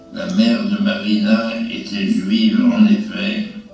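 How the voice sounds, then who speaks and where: A man speaks with audible room echo. Faint music plays in the background. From France. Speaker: author reading from his memoir. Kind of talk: autobiography reading. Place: hall.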